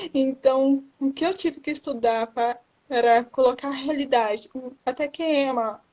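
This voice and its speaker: Very slowly, a woman speaks at a high pitch with ordinary pitch variation. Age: 20s. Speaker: book blogger and writer. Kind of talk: live interview. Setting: social media live stream.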